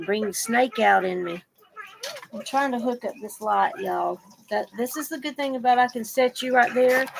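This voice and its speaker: Speaking in a Southern US accent, a woman uses a high pitch with ordinary pitch variation. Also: moderate pace. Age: 60s. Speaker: vlogger. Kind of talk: casual chat. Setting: at home, bedroom desk. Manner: rambling, informal.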